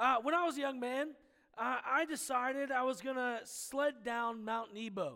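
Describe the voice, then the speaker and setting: His voice raised and projected, a man speaks at a moderate pace with an extremely high pitch, a bright, sharp tone and ordinary pitch variation. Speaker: pastor. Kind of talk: sermon.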